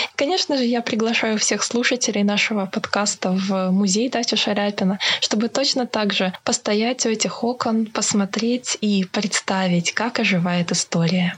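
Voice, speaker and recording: At a moderate pace, a woman speaks in a fairly high pitch with ordinary pitch variation and very even loudness, over noticeable background noise. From Krasnodar, southern Russia. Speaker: culture and history blogger, museum worker. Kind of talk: storytelling interview. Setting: remote call from home.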